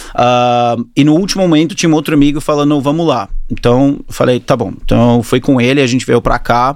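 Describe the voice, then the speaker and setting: A man talks at a fairly quick pace with hardly any pauses, very even loudness, a medium pitch and ordinary pitch variation. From New Zealand and Australia (Auckland-born, moved to Australia at 10). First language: English (speaking Portuguese). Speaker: fitness studio entrepreneur. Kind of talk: interview. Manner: halting.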